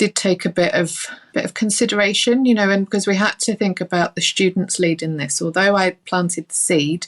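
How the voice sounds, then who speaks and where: Speaking with a London accent, a woman keeps a medium pitch. Her pace is fairly quick, with hardly any pauses. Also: ordinary pitch variation, dry, close sound with no echo. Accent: non-Northern Irish accent, London. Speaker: early years lecturer and author. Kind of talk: podcast interview.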